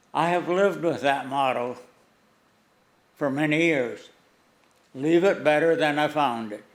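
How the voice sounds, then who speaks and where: Speaking at a fairly slow pace with long, frequent pauses, a man with a fairly high pitch and ordinary pitch variation is heard with audible room echo. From US Upper Midwest, western North Dakota. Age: 80s+. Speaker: war veteran and donor. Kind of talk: prepared speech. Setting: city council meeting.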